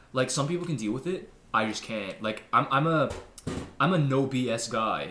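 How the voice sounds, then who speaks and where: A man's voice carries audible room echo. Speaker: podcast co-host. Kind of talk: casual chat.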